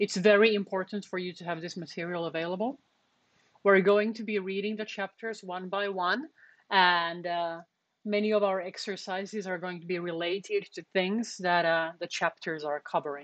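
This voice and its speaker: Speaking at a medium pitch and moderate pace with a non-native accent, a woman keeps her intonation fairly even while her loudness swings widely. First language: not English. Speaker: university programming lecturer. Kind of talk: lecture. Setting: live stream on Twitch and Discord voice channel.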